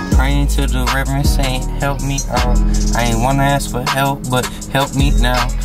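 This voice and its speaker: A man speaks at a moderate pace. Loud music plays behind him. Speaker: vlogger. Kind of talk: casual vlog chat.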